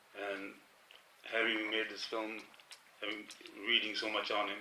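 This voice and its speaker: A man talks at a fairly quick pace in a monotone, flat intonation. Audible room echo and noticeable background noise surround his voice. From England, Leamington Spa. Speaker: film director. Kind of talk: press conference interview.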